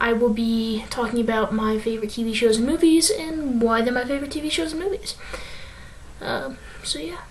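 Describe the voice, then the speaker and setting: A woman talks at a moderate pace with a high pitch and lively intonation. Audible room echo and noticeable background noise surround her voice. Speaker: youtuber reviewing TV episodes. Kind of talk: casual review monologue. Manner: hesitant, many fillers.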